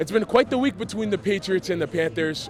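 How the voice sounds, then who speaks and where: A man's high voice with lively intonation over noticeable background noise. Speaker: sports reporter. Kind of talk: sports news montage.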